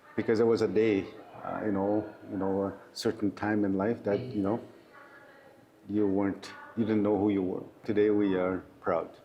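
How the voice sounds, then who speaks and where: Noticeable background noise surrounds a man speaking at a moderate pace with long, frequent pauses. His fairly low voice stays monotone and flat. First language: Oji-Cree. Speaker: provincial politician. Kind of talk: interview. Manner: halting.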